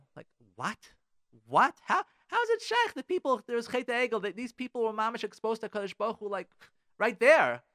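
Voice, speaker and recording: A man with an American accent speaks fairly quickly in an extremely high pitch, his raised, projected voice bright, sharp and animated, with ordinary pitch variation. The sound is dry and close with no echo, with big swings in loudness and long, frequent pauses. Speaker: radio host and rabbi. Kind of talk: live radio host patter, upbeat religious talk. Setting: live radio studio show. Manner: animated, effusive, repeating words for emphasis; fast, conversational, peppered with Hebrew and Yiddish terms.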